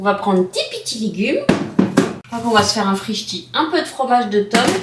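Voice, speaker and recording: Over noticeable background noise, a woman speaks in a playful tone at a fairly slow pace. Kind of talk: casual vlog talk to camera. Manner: playful, talking to her dog.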